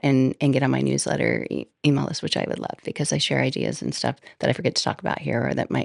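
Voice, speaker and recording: Delivered at a very fast pace, the speech has a dry, close sound with no echo. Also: woman. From small town. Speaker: podcast host. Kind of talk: casual monologue. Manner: rambling, conversational.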